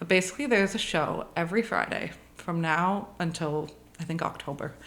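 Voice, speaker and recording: A fairly quick delivery with a Canadian accent. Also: woman, fairly low pitch for a woman, ordinary pitch variation. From Ontario, Canada (Bracebridge). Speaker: art gallery owner. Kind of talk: casual interview. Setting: at her home. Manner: casual, hesitant with many ums.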